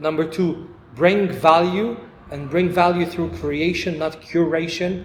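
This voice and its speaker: A man with a high pitch speaks in a monotone, flat intonation, amid noticeable background noise and audible room echo. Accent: non-native. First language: not English. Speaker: podcast host. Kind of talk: casual chat.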